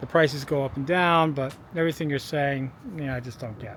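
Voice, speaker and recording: A fairly quick, fairly high-pitched man's voice, a plain, everyday voice, with ordinary pitch variation. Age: 60s. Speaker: video blogger on fossil fuel depletion. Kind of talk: casual vlog monologue. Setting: outdoors by a street.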